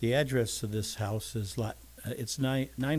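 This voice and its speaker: A man speaks in an American accent. His voice is somewhat breathy. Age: 70s. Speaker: home builder. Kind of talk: public comment at city council meeting. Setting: city council meeting. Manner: halting.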